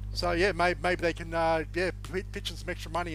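A man talks at a fairly quick pace with an Australian accent. Music plays in the background. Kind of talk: casual banter, recap. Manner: jokey, talkative.

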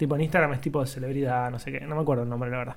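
A man speaks with a Rioplatense accent. His pace is very fast. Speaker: podcast co-host. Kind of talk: casual chat.

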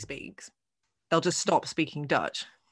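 With a British accent and a fairly low pitch, a woman speaks against a quiet background. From England. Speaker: podcast host. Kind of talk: casual chat.

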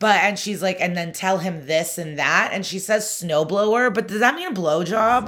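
With hardly any pauses, the speech runs at a moderate pace with ordinary pitch variation over noticeable background noise. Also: woman, medium pitch for a woman. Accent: American. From US Midwest, Chicago suburbs. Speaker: comedian. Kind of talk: casual chat.

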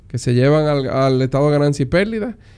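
Using an ordinary speaking voice, a man delivers his words at a fairly high pitch, his pitch varying in an ordinary way. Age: 30s. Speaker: entrepreneur and investor. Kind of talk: interview. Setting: at home.

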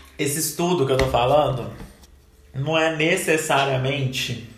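Against noticeable background noise and audible room echo, a man with a fairly high pitch talks at a fairly slow pace. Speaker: marketing lecturer. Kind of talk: lecture.

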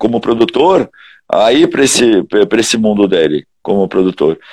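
A man talks at a moderate pace with very wide pitch swings, on a very clean recording with a silent background. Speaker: heavy metal singer. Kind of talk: casual interview chat.

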